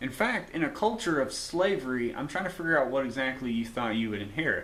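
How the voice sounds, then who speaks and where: Speech comes at a very fast pace with lively intonation, in an American accent. Noticeable background noise and audible room echo fill the recording. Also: man, medium pitch for a man. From US South. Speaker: YouTuber. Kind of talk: video monologue.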